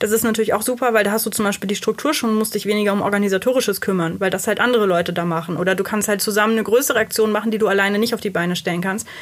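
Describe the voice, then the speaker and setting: Very fast speech with ordinary pitch variation. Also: woman. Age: 20s. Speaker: mentor and workshop trainer. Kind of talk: interview.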